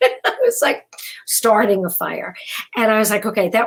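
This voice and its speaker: A woman's fairly high, somewhat breathy voice with a New York accent. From New York, Brooklyn. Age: 60s. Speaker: keynote speaker. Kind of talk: keynote speech. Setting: virtual event. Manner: halting, with many fillers.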